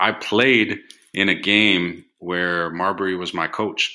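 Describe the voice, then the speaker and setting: Heard in a very clean recording against a silent background, the man has a fairly low pitch, a bright, sharp tone and fairly even intonation. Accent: American. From US Midwest, Chicago. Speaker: China sourcing business owner. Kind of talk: casual chat.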